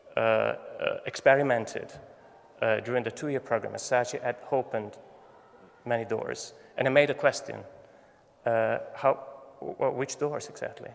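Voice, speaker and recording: Noticeable background noise sits behind a man with a non-native accent who talks at a moderate pace with long, frequent pauses. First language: Italian. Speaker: photography professor. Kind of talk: commencement speech. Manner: halting.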